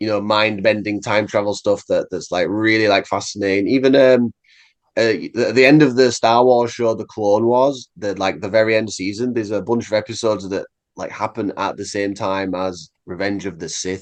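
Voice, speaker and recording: Against a quiet background, someone with an English accent speaks at a moderate pace with fairly even intonation. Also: man, fairly low pitch for a man. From England. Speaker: metal musician. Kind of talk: casual interview.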